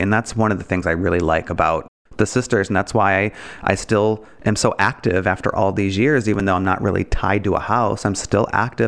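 A man with an American accent speaks in an ordinary speaking voice, fairly low in pitch, at a moderate pace with ordinary pitch variation. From Michigan, Detroit area. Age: 30s. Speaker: drag nun and LGBTQ activist, podcaster. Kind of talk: casual interview chat.

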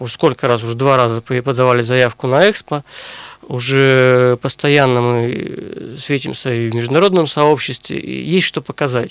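This is a man with an ordinary speaking voice, pitched at a medium level, with ordinary pitch variation. He keeps a moderate pace, and the sound is dry and close with no echo. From Russia, Sverdlovsk region (Urals). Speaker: historian and university lecturer. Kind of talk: radio interview. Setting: studio.

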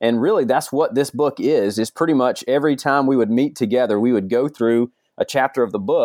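Medium-pitched male voice with an American accent and ordinary pitch variation, fairly quick in pace, very even in loudness, with a dry, close sound and no echo. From Georgia, US South. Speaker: youth pastor and author. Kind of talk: interview. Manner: halting.

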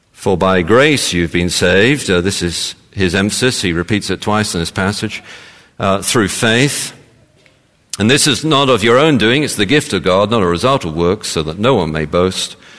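A man in a London accent uses a fairly low pitch and lively intonation. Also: moderate pace. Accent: southern English (London). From London, England. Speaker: pastor. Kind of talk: sermon.

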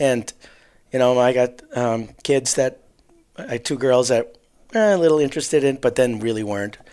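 A man's voice has a dark, mellow tone and medium pitch, with ordinary pitch variation. He leaves long, frequent pauses. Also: moderate pace. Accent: Wisconsin. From southeast Wisconsin, Waukesha area. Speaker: hunting mentor. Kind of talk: casual interview.

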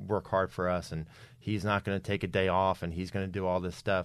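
A man with an American accent, an ordinary speaking voice, fairly low pitch and a fairly quick pace. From New Jersey. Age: 40s. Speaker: author. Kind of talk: podcast interview.

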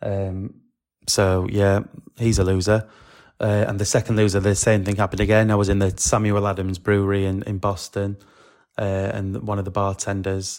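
In a very clean recording with a silent background, a man speaks with a British accent. His fairly low voice moves at a moderate pace with monotone, flat intonation. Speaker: podcaster and fan. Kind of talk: casual chat.

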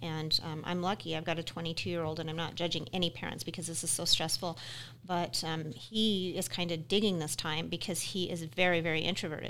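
A woman with an American accent talks at a fairly quick pace in a normal speaking voice. Her pitch is fairly low, with ordinary pitch variation. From Utah. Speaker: podcast co-host. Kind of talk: casual podcast chat. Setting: studio.

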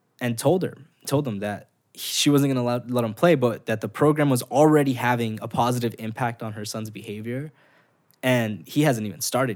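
Speaking with an American accent in a plain, everyday voice, a medium-pitched man keeps a moderate pace and ordinary pitch variation while his loudness swings widely. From Los Angeles, South Central / Southeast. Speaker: nonprofit founder. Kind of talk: casual chat.

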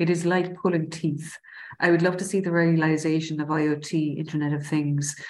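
In a Cork accent, a woman speaks with a very deep, low pitch and monotone, flat intonation. Her pace is moderate, and room echo is audible. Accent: Irish (Cork). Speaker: city council IT director. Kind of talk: interview.

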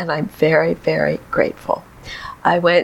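Through noticeable background noise, a speaker in an American accent takes a fairly unhurried pace. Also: woman. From San Diego, California. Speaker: retired kindergarten teacher. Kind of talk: interview.

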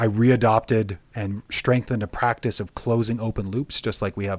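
A western Canadian accent at a moderate pace with fairly even intonation, on a very clean recording with a silent background. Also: man. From Alberta, Canada. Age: young. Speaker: guest sharing life wisdom. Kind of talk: casual interview.

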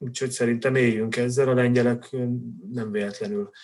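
The man's voice is medium in pitch, and his pace is moderate. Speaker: Polish studies expert and football fan. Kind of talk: casual chat. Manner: halting.

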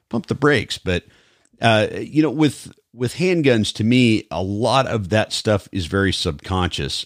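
A man's fairly low-pitched, plain, everyday voice at a fairly slow pace, lively in intonation, dry and close with no echo, on a very clean recording with a silent background. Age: 40s. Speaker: podcast host and police officer. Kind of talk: casual interview.

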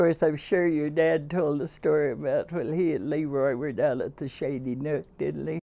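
In a very deep, low voice with vocal fry, a woman talks at a moderate pace with fairly even intonation and hardly any pauses. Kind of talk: elder life story, reminiscing. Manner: warm, chuckling, fond; halting, with uhs and laughter.

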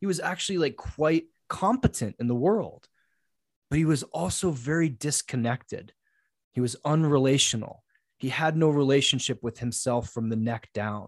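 Intonation is lively as a man with an unremarkable speaking voice talks at a fairly high pitch and a moderate pace. The sound is dry and close with no echo, and the background is quiet. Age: 40s. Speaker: men's coach. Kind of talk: casual interview conversation.

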